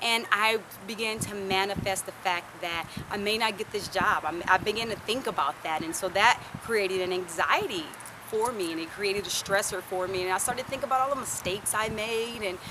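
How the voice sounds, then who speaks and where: Against noticeable background noise, a woman with an American accent speaks at a fairly quick pace with ordinary pitch variation. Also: medium pitch for a woman. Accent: southern US, comes out at times. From US South. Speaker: vlogger. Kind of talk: personal vlog talk. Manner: casual, conversational.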